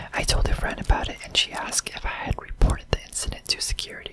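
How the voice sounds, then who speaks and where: A man whispering over noticeable background noise. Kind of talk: ASMR scary story reading. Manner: whispered.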